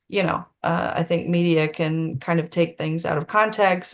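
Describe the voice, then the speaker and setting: Speaking at a moderate pace with a Tennessee accent, a woman with a fairly low pitch is heard over a quiet background. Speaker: author. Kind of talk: Q&A on a video call. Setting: Zoom video call.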